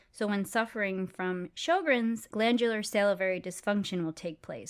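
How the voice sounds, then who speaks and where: A woman with an American accent and an unremarkable speaking voice, medium in pitch with ordinary pitch variation, on a very clean recording with a silent background. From United States. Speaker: dental hygienist podcast host. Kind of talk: educational podcast chat.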